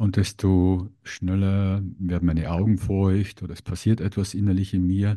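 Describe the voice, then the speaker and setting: A man's very deep, low voice with a dark, mellow tone, flat and monotone, at a fairly slow pace with hardly any pauses, against a quiet background. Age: 50s. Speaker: podcast host. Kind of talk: interview conversation.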